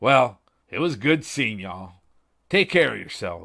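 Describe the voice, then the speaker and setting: A man does a put-on character voice that is raspy, at medium pitch and moderate pace. The recording is very clean, with a silent background. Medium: read story. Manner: wisecracking, gruff.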